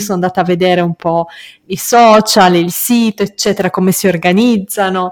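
The speaker is a woman with an ordinary speaking voice at a medium pitch. She moves at a fairly quick pace with ordinary pitch variation. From Moldova. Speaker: podcast host. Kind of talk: solo monologue and interview.

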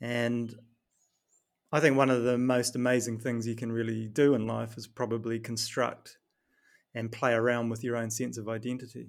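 With a New Zealand accent, a man of medium pitch speaks at a moderate pace in a monotone, flat delivery. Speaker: performance coach and author. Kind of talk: podcast interview.

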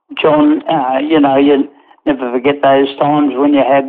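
A man's fairly high voice, flat and monotone, at a moderate pace. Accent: Australian. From Australia, Newcastle NSW. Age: 80s+. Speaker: retired racehorse trainer. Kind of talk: interview. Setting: remote call. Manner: halting.

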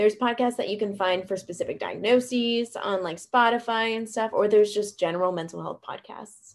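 With a plain, everyday voice, a woman speaks at a fairly high pitch and a fairly quick pace, using fairly even intonation and hardly any pauses. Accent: American. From US South, Greenville, South Carolina. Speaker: trauma counselor. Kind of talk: interview.

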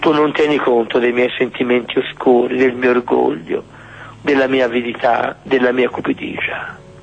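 The loudness stays very even and the intonation fairly even. Noticeable noise sits in the background. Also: man, medium pitch for a man. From Florence, Tuscany. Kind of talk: guided Eucharistic adoration prayer. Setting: church. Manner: slow.

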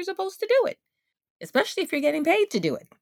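The woman's voice sounds dry and close, with no echo. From Guyana, moved to US at age seven. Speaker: community farmer. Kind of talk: interview testimony.

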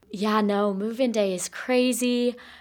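A woman's medium-pitched, plain, everyday voice with fairly even intonation on a very clean recording with a silent background. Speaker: college student guest host. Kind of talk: casual chat.

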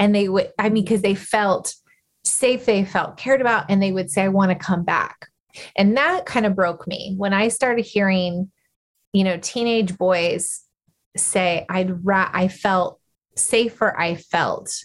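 A woman speaks at medium pitch with an American accent. She has a plain, everyday voice. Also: fairly even intonation, fairly slow pace. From Arizona, rural. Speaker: nonprofit founder, former juvenile correction officer. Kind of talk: interview.

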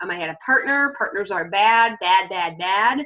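A woman's unremarkable speaking voice, medium in pitch, at a moderate pace with ordinary pitch variation. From Michigan, Detroit area. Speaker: comic speaker. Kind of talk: casual interview.

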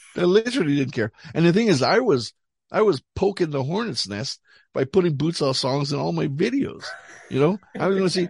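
A man's fairly high voice with vocal fry and very wide pitch swings at a fairly quick pace, in a dry, close sound with no echo and a quiet background. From Montreal, Canada. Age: 60s. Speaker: rock musician. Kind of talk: casual chat.

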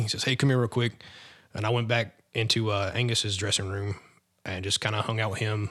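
Very fast speech from a man with an American accent, very clean recording, silent background. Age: 30s. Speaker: rock singer in a tribute band. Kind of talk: interview.

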